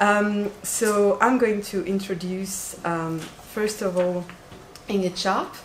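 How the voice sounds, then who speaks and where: A woman with a non-native accent talks very slowly at a medium pitch, her intonation flat and monotone. Noticeable background noise and audible room echo fill the recording. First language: French. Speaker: doctoral researcher and event organizer. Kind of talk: conference introduction. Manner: hesitant, many fillers.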